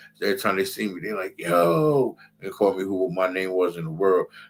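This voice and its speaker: This man has a very deep, low pitch. He keeps a moderate pace with lively intonation. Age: 40s. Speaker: Hebrew Israelite priest. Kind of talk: religious class talk. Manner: animated.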